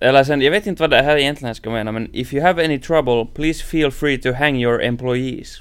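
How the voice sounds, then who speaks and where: With a Finland-Swedish accent, a man with a fairly high pitch and ordinary pitch variation talks at a fairly quick pace with hardly any pauses, on a very clean recording with a silent background. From Finland (Swedish-speaking). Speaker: podcast host. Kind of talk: casual chat.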